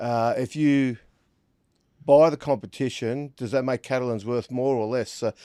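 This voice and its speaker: A man with a strong Australian accent speaks at medium pitch and a moderate pace, with fairly even intonation and a dark, mellow tone. The sound is dry and close with no echo, on a very clean recording with a silent background. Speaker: rugby league pundit. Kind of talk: casual chat.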